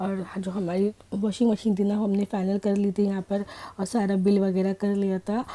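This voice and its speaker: Her tone is dark and mellow, with a medium pitch and a monotone, flat intonation. The woman speaks at a moderate pace. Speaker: vlogger. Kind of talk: vlog voiceover. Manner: casual, chatty.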